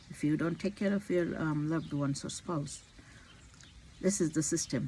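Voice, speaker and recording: Somewhat breathy and fairly low in pitch, a woman speaks at a moderate pace with ordinary pitch variation. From India. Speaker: physician. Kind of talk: personal vlog monologue. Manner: halting.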